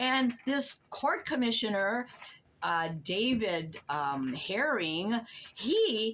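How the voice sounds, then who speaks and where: Vocal fry runs through speech that has very wide pitch swings. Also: woman. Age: 80s+. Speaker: elderly tenant telling her story. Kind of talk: personal testimony. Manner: animated, repetitive.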